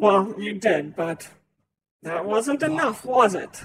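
A man puts on a character voice, high in pitch with big pitch swings. The tone is fairly bright with a slightly husky edge, and the pace is slow.

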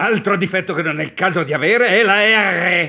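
The speaker is a man. The background is quiet. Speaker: dubbing teacher, voice actor. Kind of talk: instructional lesson on diction, ironic tone. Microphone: webcam.

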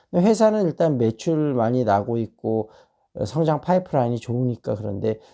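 At a moderate pace, a man with a medium pitch and a dark, mellow tone talks with lively intonation over a very clean recording with a silent background. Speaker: stock market and English education YouTuber. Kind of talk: monologue on stock outlook and book reading. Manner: casual with many fillers.

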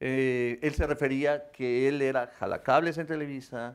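Monotone, flat intonation against a quiet background. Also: man. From Mexico City. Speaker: actor. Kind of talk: talk show interview. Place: studio.

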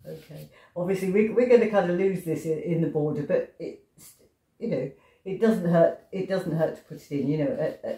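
A woman's loudness swings widely. Her voice carries audible room echo over a quiet background. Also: ordinary pitch variation. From England. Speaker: pastel artist. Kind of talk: tutorial. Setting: home studio. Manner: slow; hesitant.

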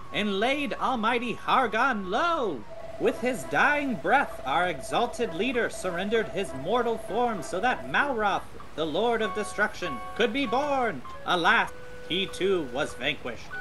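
A put-on character voice sits at a fairly high pitch. Loud background noise fills the recording. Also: moderate pace. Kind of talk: sermon, grand theatrical oration. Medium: machinima. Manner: fervent, solemn.

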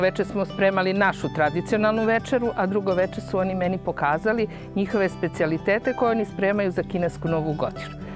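Clear music plays behind a woman whose voice is dry, with no echo. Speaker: rural guesthouse host. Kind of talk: interview answer. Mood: proud, warm. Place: garden. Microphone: lapel.

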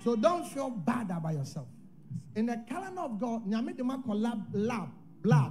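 A man at a moderate pace, his pitch extremely high, with very wide pitch swings over light background noise. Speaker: prophet; preacher. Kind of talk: prophecy delivery. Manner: prophetic, declarative, urgent; rhythmic, repetitive ('What can stop it?'). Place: church. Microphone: handheld.

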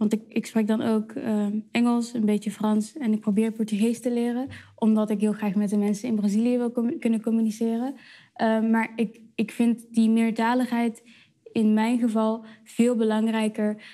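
Against a quiet background, a woman with a fairly high pitch and a dark, mellow tone speaks at a moderate pace in a monotone, flat intonation with very even loudness. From Netherlands. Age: 20s. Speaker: slam poet. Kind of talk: interview answer. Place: cafe. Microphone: lapel.

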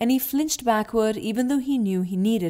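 The voice is unforced. It is a reading voice.

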